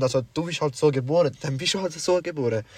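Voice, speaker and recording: It's a man with a plain, everyday voice and ordinary pitch variation. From Sri Lanka. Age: young. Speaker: podcast co-host. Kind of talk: casual chat.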